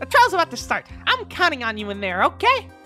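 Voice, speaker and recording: A woman's put-on character voice at a fairly quick pace, with clear music in the background. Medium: solo performance. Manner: emotional, dramatic.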